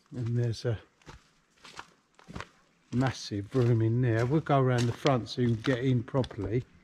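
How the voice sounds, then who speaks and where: Moderate pace over light background noise. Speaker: urban explorer vlogger. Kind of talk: casual vlog commentary. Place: open country. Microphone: phone near.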